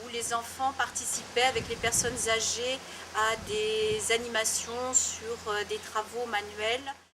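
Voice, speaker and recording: At a very slow pace, a woman speaks with fairly high pitch and monotone, flat intonation. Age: 60s. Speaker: association president. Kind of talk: interview. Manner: hesitant, many fillers.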